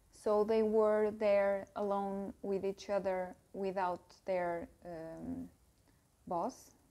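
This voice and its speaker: With a non-native accent, a woman speaks at a very slow pace in a dark, mellow tone with monotone, flat intonation. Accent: non-native English speaker. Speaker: book youtuber. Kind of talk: casual book review to camera. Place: home room. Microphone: lapel.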